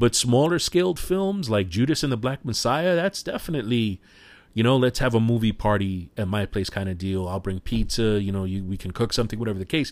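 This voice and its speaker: A man with a New York accent, speaking at a fairly quick pace with lively intonation. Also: medium pitch for a man. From New York City, Washington Heights. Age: 40s. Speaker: podcast host. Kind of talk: casual solo podcast monologue.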